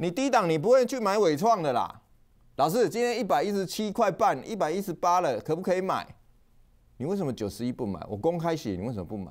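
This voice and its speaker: The speaker's pitch swings very widely at a fairly quick pace. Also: man, high pitch for a man. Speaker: stock market analyst show host. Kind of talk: market commentary monologue. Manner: casual, filler-heavy (哦, 哈); animated.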